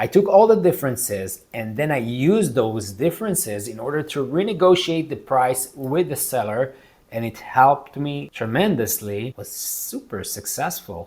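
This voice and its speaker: A somewhat breathy man with a non-native accent, very wide pitch swings, big swings in loudness and hardly any pauses. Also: medium pitch for a man, moderate pace. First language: not English. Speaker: real estate investor and video creator. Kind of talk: casual tutorial talk to camera.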